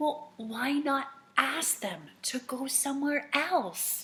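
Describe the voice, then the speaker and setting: The speaker uses a put-on character voice. Delivery comes at a very slow pace. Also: woman, high pitch for a woman. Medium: read story. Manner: bright, calm, cheery.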